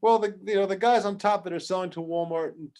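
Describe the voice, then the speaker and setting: Against a quiet background, a man with a New York accent speaks at a fairly quick pace with fairly even intonation. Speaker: toy product development expert. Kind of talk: workshop interview. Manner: casual, halting with many restarts.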